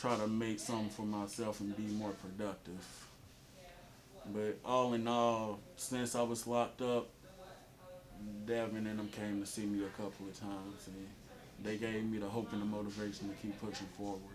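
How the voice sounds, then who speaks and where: Audible room echo surrounds a man speaking at a moderate pace with a fairly low pitch, flat, monotone intonation, and long, frequent pauses. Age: 20s. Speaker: former prisoner, outreach client. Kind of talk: testimony.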